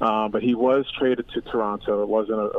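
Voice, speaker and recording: A man's medium-pitched voice with an American accent, flat, monotone intonation and a moderate pace. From US Northeast, Philadelphia. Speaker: professor of sports and media. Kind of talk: interview. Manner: hesitant with fillers.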